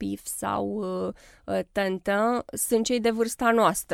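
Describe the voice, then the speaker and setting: On a very clean recording with a silent background, a woman speaks at a very slow pace in a dry, close sound with no echo. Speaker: children's author. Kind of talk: radio interview.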